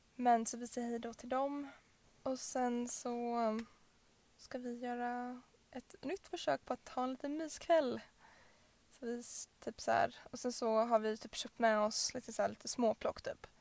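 At a fairly slow pace, a woman with a high pitch and fairly even intonation speaks with big swings in loudness and long, frequent pauses. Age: 20s. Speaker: podcast co-host. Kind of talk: casual chat.

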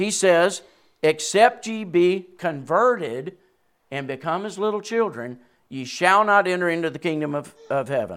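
A man's high-pitched voice with a Southern US accent, lively intonation and big swings in loudness. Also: moderate pace. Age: 60s. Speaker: preacher. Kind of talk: sermon. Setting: church.

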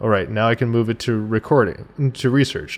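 Against a quiet background, a man with an unremarkable speaking voice talks at a moderate pace and medium pitch, his intonation fairly even. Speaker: guest. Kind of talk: casual chat. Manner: joking, playful.

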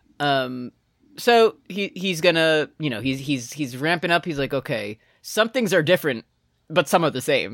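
In a very clean, dry, close recording with no echo and a silent background, a man with a fairly high voice speaks at a moderate pace, his pitch swinging very widely. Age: 30s. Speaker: podcast host. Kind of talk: casual chat.

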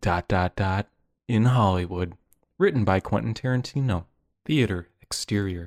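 Reading aloud in a natural voice, the speaker shows ordinary pitch variation against a quiet background.

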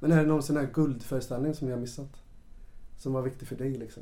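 A man speaks very fast in a medium-pitched voice. His tone is dark and mellow. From western Sweden, Ulricehamn. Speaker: podcast host, actor and teacher. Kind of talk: interview. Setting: hotel room.

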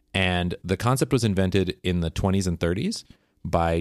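A man with an American accent speaks at a very deep, low pitch and a moderate pace. His pitch varies in an ordinary way, and the recording is very clean with a silent background. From US Pacific Northwest. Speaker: podcast co-host. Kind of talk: casual chat.

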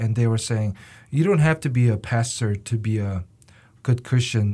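With a Korean accent, a man speaks at a medium pitch and a fairly slow pace, somewhat breathy, with ordinary pitch variation, on a very clean recording with a silent background. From South Korea. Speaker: university student. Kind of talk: interview.

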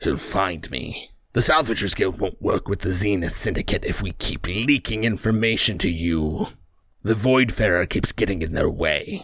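A man does a put-on character voice, raspy and fairly low in pitch. He keeps a moderate pace. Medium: actual play. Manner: snarling, defensive.

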